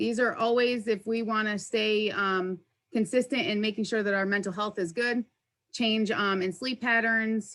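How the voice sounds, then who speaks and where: A woman's normal speaking voice, fairly high in pitch, at a moderate pace with fairly even intonation. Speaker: workplace wellness presenter. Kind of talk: presentation.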